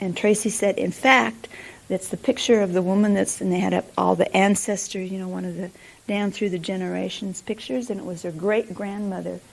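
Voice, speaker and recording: With an American accent, a woman talks at a fairly quick pace in a plain, everyday voice at a medium pitch, showing ordinary pitch variation. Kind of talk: teaching session.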